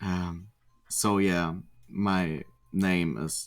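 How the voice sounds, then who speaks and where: On a very clean recording with a silent background, a man with a German accent speaks at a very deep, low pitch. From Germany. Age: 20s. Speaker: gamer. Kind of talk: interview. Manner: halting.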